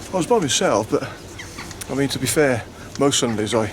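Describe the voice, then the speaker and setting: Amid noticeable background noise and audible room echo, a man speaks very fast with lively intonation at a fairly high pitch. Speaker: walking vlogger. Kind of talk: travel vlog narration. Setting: inside a church. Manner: hushed.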